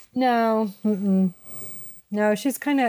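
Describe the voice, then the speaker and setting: A woman's voice with a dark, mellow tone. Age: 50s. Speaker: graphic designer. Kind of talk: casual chat.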